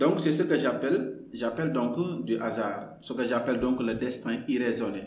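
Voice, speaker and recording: Speaking at a medium pitch with ordinary pitch variation, the man is heard through audible room echo and noticeable background noise. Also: fairly slow pace, hardly any pauses. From Senegal, Kaolack. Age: 30s. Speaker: novelist and lawyer. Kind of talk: podcast interview. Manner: halting, many repetitions.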